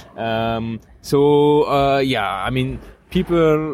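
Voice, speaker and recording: A French accent with ordinary pitch variation. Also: man. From France. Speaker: bicycle traveler. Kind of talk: casual chat.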